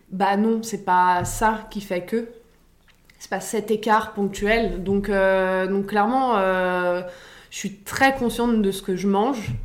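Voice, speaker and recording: A woman's medium-pitched voice at a very slow pace, with fairly even intonation and audible room echo. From Paris, France. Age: 30s. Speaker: fitness coach. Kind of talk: casual interview.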